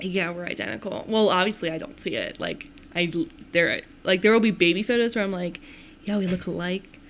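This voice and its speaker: This is a plain, everyday voice with an American accent. It moves at a fairly quick pace with ordinary pitch variation. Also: woman, medium pitch for a woman. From Maryland, north of Baltimore. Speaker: podcast host. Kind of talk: interview.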